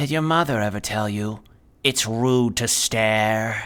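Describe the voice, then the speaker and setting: A put-on character voice speaks low and hissing. The pace is fairly slow. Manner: taunting.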